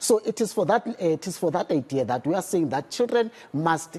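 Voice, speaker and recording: With a Zulu accent, this man talks at a fairly quick pace in a high pitch, his dark, mellow tone carried by lively intonation. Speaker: literacy campaign spokesperson. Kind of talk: TV news interview.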